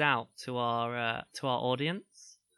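Heard on a very clean recording with a silent background, a man speaks at a medium pitch with a bright, sharp tone. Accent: British. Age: 30s. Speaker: podcast co-host. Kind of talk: casual chat.

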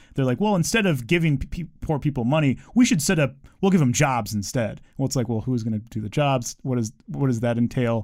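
With an ordinary speaking voice at a medium pitch, a man talks with lively intonation. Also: fairly quick pace. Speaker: teacher, government worker. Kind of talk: casual chat.

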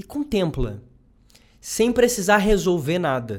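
A man is speaking. His pace is moderate. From southern Brazil, Rio Grande do Sul. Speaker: psychologist, doctoral researcher. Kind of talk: casual interview chat.

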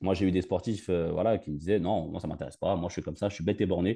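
Against a quiet background, a man speaks very fast with a dark, mellow tone and fairly even intonation. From Paris region (Val-d'Oise). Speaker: football fitness coach. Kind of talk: interview. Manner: halting, many repetitions.

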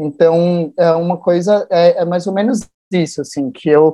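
Against a quiet background, a man with a high pitch and a dark, mellow tone speaks at a fairly slow pace. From São Paulo, Brazil. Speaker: activist and NGO founder. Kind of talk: interview. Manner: talkative.

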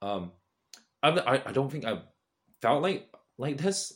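With a British accent, this man speaks at a fairly quick pace and with lively intonation. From UK. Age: 20s. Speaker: content creator. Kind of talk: casual monologue. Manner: halting.

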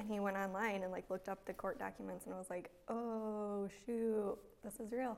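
In an American accent, the speaker talks at a moderate pace with monotone, flat intonation. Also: woman. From Michigan (Byron). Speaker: content specialist, company employee. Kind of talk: casual interview.

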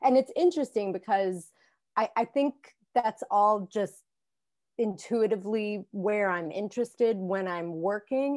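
Against a quiet background, the speaker uses an American accent at a fairly slow pace with ordinary pitch variation and a dry, close sound with no echo. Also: woman, medium pitch for a woman. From southwestern Virginia. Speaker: painter. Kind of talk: interview. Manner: hesitant, many fillers.

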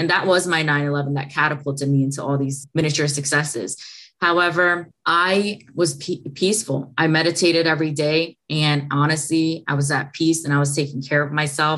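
A woman speaks at a moderate pace with hardly any pauses. Her pitch is very deep and low, and her intonation stays fairly even. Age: 20s. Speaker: entrepreneur and podcaster sharing trauma story. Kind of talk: interview testimony. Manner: calm, mellow.

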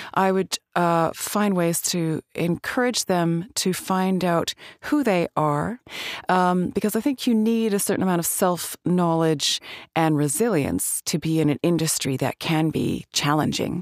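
The speaker has an unremarkable speaking voice with a Canadian accent, moving at a moderate pace with lively intonation. The recording is very clean and dry, close with no echo, over a silent background. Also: woman. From Alberta, Canada. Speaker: actress and voice actor. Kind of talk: casual interview.

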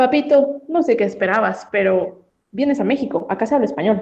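A woman with a dark, mellow tone speaks at a moderate pace, her intonation lively and her voice showing vocal fry. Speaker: hotel receptionist. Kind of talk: casual chat. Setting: video call.

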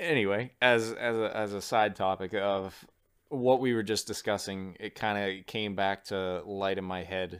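A normal speaking voice from a man with an American accent, fairly low in pitch, fairly even in intonation, on a very clean recording with a silent background. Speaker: podcast host and audio engineer. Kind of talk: casual chat.

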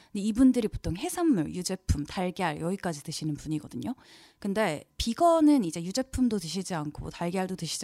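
In a very clean recording with a silent background, a woman speaks at a fairly quick pace in a dark, mellow tone, her medium pitch moving through very wide swings. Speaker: podcast co-host. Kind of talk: casual chat.

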